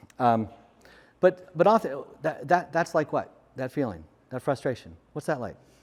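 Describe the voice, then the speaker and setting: A man's voice with vocal fry, lively intonation and long, frequent pauses. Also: fairly high pitch for a man, moderate pace. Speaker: conference speaker. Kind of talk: conference talk. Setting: stage with audience. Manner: loud, projecting.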